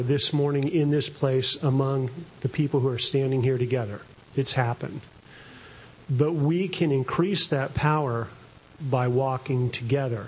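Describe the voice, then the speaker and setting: This is a man with a normal speaking voice. His loudness stays very even. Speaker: congregation member. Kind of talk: testimony and prayer.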